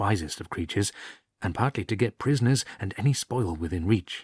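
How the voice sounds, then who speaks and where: In a very clean recording with a silent background and a dry, close sound with no echo, a man with an English accent speaks at a moderate pace with fairly low pitch, lively intonation and a somewhat breathy quality. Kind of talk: story reading for relaxation. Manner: soft-spoken.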